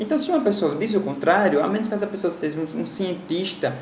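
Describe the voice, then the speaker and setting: Speech from a man amid noticeable background noise and audible room echo. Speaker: school teacher. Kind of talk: recorded online lecture. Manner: conversational, with fillers and repetitions.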